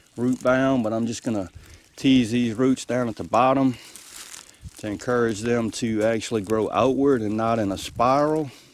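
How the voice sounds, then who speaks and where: Over noticeable background noise, a man with a Mississippi accent talks at a moderate pace, medium in pitch, with fairly even intonation. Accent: Southern US, rural Mississippi. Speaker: homesteader. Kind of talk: casual how-to talk to camera. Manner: folksy, friendly.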